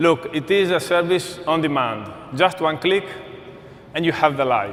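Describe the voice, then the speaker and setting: A man with a fairly high pitch and an Italian accent, with audible room echo and noticeable background noise. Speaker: corporate speaker. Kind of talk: conference presentation.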